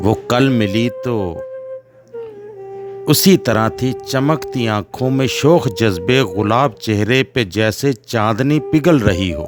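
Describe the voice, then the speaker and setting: A man speaks at a medium pitch with ordinary pitch variation over music in the background. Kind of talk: poetry reading. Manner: expressive, emotional.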